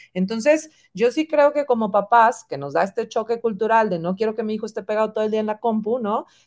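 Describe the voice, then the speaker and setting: A woman talks in a plain, everyday voice. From Mexico, Monterrey. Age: 40s. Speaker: marketing executive. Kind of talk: interview. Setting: video call.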